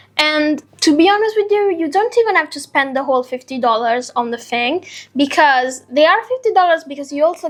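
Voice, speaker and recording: A woman with a non-native accent, a fairly quick pace and lively intonation. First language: not English. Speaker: beauty influencer. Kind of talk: product review vlog. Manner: casual, chatty.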